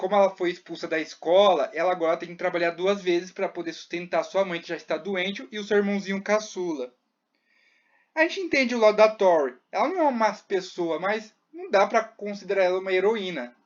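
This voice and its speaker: Against a quiet background, the delivery is fairly quick. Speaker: youtuber recapping a TV series. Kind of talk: casual recap commentary.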